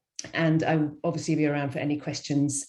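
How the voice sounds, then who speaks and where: A woman with a British accent speaks at a fairly quick pace in a dark, mellow tone. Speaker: school enrollment workshop presenter. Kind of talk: webinar presentation. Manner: fast.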